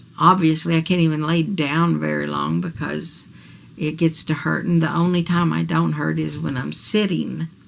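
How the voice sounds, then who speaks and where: The speaker has an American accent and talks at a moderate pace. Noticeable background noise runs underneath. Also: woman. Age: 60s. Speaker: vlogger. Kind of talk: personal video diary. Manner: casual, hesitant.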